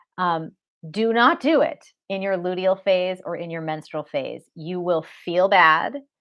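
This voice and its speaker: A woman with an unremarkable speaking voice, fairly low in pitch, with ordinary pitch variation. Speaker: women's health educator and author. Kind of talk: live online masterclass. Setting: live stream.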